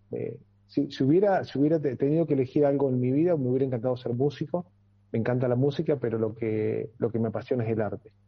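A man's very fast speech with a Rioplatense accent, medium pitch and ordinary pitch variation. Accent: Argentine Rioplatense Spanish. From Argentina, Entre Ríos. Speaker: muralist. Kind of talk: radio interview. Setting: video call.

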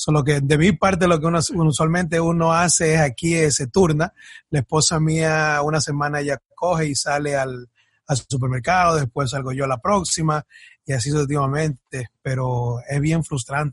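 A man's voice, somewhat breathy, with fairly even intonation. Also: moderate pace. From born in Ecuador, raised in the US from age 8 in a Dominican community. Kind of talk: casual interview chat. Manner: halting, with frequent repetitions.

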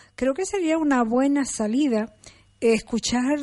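A woman with a dark, mellow tone and ordinary pitch variation at a very slow pace against a quiet background. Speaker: radio host. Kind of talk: radio interview. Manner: halting.

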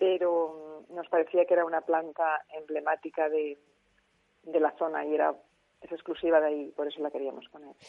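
A woman's very deep, low voice in a flat monotone, moderate in pace, with big swings in loudness. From Spain, Alicante. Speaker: author of a book on medicinal plants. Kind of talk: radio interview.

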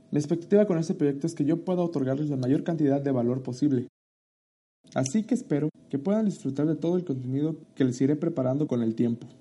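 Very fast male speech at a fairly high pitch, with a dark, mellow tone, ordinary pitch variation and very even loudness. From Mexico, Chiapas (Tuxtla Gutiérrez). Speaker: podcast host, marketing student and entrepreneur. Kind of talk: solo podcast introduction.

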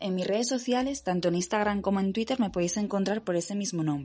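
At a very fast pace, a woman speaks with a dark, mellow tone, a medium pitch and ordinary pitch variation. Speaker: podcast host and poet. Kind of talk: scripted intro and interview chat.

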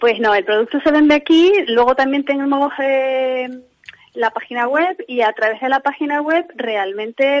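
This woman's voice sits at a high pitch and shows ordinary pitch variation. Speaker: handbag designer. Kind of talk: interview. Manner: halting.

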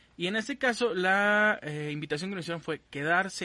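A man talks in an ordinary speaking voice with lively intonation. The background is quiet. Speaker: podcast host. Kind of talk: casual chat. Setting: remote live stream from home.

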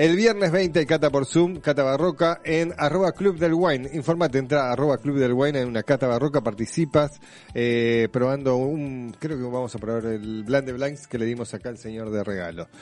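With music in the background, a man at medium pitch talks at a moderate pace with hardly any pauses. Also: lively intonation. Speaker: radio host. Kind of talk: casual chat.

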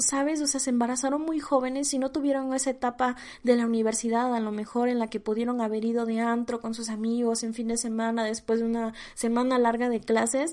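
Her high-pitched voice moves along at a fairly quick pace as this woman talks. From Mexico, small town in Oaxaca. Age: 20s. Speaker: podcast host. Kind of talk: solo podcast monologue. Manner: casual, filler-heavy.

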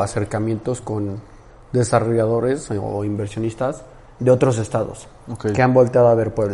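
Fairly even intonation marks this man's delivery in an ordinary speaking voice. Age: 20s. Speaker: podcast host. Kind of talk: interview.

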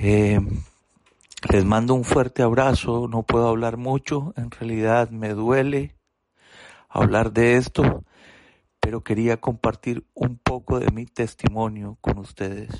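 At a very slow pace, with long, frequent pauses, the speech keeps a fairly even intonation and a dry, close sound with no echo. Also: man, medium pitch for a man. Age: 40s. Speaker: recovering alcoholic. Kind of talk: testimony.

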